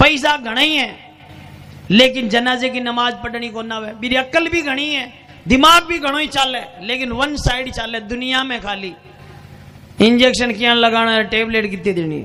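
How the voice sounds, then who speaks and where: Over noticeable background noise, a man uses a raised, projected voice at an extremely high pitch with ordinary pitch variation. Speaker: Islamic cleric. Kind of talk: humorous religious sermon.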